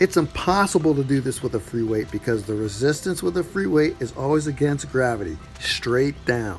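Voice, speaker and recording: With music in the background, a man of medium pitch talks at a moderate pace using lively intonation. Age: 50s. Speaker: fitness trainer. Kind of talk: tutorial.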